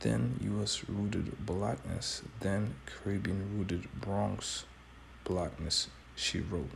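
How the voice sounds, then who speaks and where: Quietly and at a very slow pace, a man with a very deep, low voice and vocal fry speaks with very wide pitch swings and very even loudness, with audible room echo. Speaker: street preacher. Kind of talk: bible teaching commentary. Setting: at home early morning, others sleeping. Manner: quiet, low voice.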